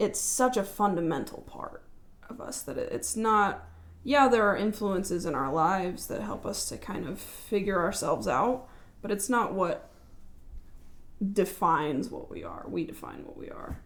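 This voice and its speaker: A woman speaks loudly at a moderate pace in a medium pitch, with vocal fry and audible room echo. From California, Central Valley. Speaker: podcast guest. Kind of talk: casual chat. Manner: halting.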